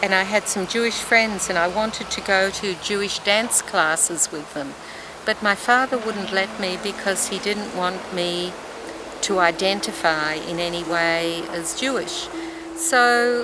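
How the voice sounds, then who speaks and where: A woman's medium-pitched voice at a fairly slow pace, with an Australian accent, over noticeable background noise. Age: 60s. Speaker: interviewee tracing family history. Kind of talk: interview testimony.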